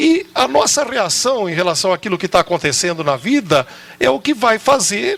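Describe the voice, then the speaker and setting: A man speaks in a high voice, his pitch swinging very widely at a moderate pace. Noticeable background noise runs underneath. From Jaú, São Paulo state, Brazil. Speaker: TV program host at a rehab community. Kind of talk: talk show discussion.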